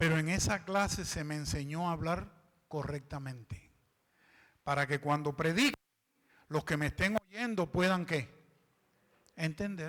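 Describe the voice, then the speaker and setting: A man with a fairly high pitch and ordinary pitch variation, at a fairly slow pace with long, frequent pauses, in a very clean recording with a silent background. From Cuban. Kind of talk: clear, careful speech.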